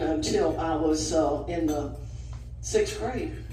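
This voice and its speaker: A woman speaks in a Southern US accent. Room echo is audible, and background noise is noticeable. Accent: Southern US (Georgia). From north Georgia, US South. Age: 80s+. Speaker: retired alumna sharing memories. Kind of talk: personal storytelling at a group lunch. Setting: restaurant lunch gathering. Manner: halting, with frequent fillers.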